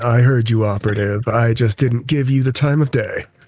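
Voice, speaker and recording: A man puts on a gruff character voice at a medium pitch. He keeps a moderate pace and a very even loudness. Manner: dismissive, mocking.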